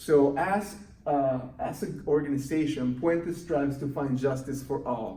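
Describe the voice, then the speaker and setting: Amid noticeable background noise and audible room echo, a man with a Mexican accent speaks at a fairly high pitch. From Mexico City. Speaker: youth program coordinator. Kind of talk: recorded volunteer training presentation. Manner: halting, with many fillers.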